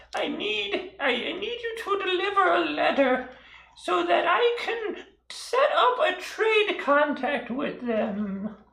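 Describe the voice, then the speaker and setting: A put-on character voice with extremely high pitch talks at a fairly slow pace, carrying a slight echo. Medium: actual play. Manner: rambling, eccentric.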